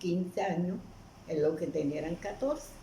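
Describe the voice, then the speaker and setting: Delivered fairly slowly, the speech carries ordinary pitch variation amid audible room echo. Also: woman. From Colombian Caribbean coast, Aracataca, Magdalena. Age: 90s. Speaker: elderly storyteller. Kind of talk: interview. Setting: at her home.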